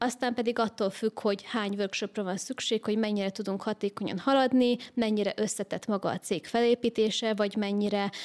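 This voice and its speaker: Her intonation stays fairly even as a woman talks at a fairly quick pace. The recording is very clean, with a silent background. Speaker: organizational psychologist and business coach. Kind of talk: interview.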